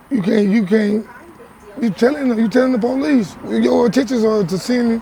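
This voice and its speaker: A man talks at a fairly quick pace, with ordinary pitch variation. Noticeable background noise sits behind him. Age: 30s. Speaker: interviewee. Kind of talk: casual chat.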